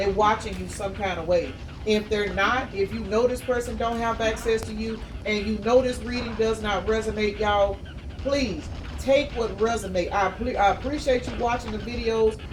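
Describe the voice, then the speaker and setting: A woman with a fairly high pitch speaks at a moderate pace with fairly even intonation. Noticeable background noise and audible room echo fill the recording. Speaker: tarot reader. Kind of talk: tarot reading livestream-style monologue.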